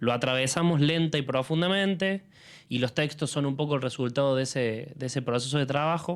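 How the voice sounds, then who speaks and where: A man speaks with a Rioplatense accent at a fairly quick pace and ordinary pitch variation. The recording is very clean with a silent background. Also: fairly high pitch for a man. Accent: Argentine Rioplatense Spanish. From Argentina. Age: 30s. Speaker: film curator and critic. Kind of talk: public talk presenting a film series. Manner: halting, many fillers and repetitions.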